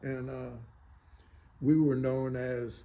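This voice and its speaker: Audible room echo surrounds a man at medium pitch with an American accent. His tone is dark and mellow, and his pace is very slow. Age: 70s. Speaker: war veteran. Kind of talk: interview. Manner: halting.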